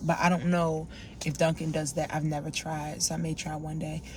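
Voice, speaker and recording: This woman's pitch is fairly low. Her voice is somewhat breathy. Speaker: lifestyle vlogger. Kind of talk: casual vlog talk to camera. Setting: in a car. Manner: fast.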